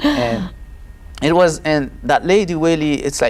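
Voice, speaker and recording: Speaking with a Haitian accent at a fairly slow pace, a man shows ordinary pitch variation. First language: Haitian Creole. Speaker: testimony guest. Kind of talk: testimony interview. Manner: halting.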